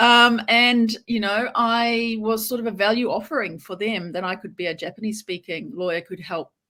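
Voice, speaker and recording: A woman with a New Zealand accent speaks at a moderate pace. Her tone is bright and sharp, with ordinary pitch variation. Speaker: lawyer. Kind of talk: interview.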